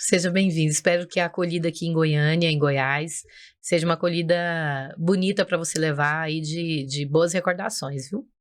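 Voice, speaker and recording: A normal speaking voice from a woman, fairly low in pitch, with fairly even intonation at a moderate pace. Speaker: podcast host. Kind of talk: podcast interview.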